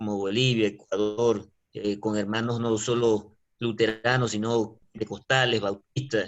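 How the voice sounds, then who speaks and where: Speaking at a fairly slow pace, a man delivers his words in a medium pitch with flat, monotone intonation. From Venezuela. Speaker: online Bible class student. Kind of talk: self-introduction in online class.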